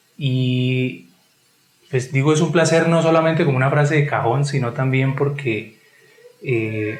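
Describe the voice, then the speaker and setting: A man talks at a fairly slow pace and a fairly high pitch, leaving long, frequent pauses. His pitch varies in an ordinary way, and his loudness stays very even. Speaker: podcast host. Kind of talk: podcast host interview.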